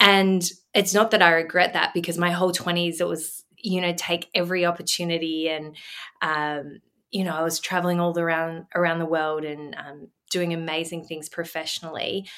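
In an Australian accent, a woman speaks at a moderate pace in a fairly low voice with monotone, flat intonation. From Australia, Melbourne. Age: 30s. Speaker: businesswoman and mother. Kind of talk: casual chat. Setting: video call.

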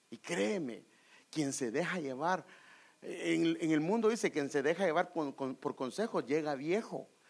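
A man with an unremarkable speaking voice talks at a fairly slow pace and a fairly high pitch. His intonation is lively, and the recording is very clean with a silent background. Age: 50s. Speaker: pastor. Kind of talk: sermon.

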